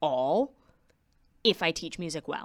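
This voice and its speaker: Speaking at a fairly slow pace, a woman with a fairly low pitch and an American accent has an ordinary speaking voice. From US Northeast, South Shore Massachusetts. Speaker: music educator. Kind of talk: casual interview.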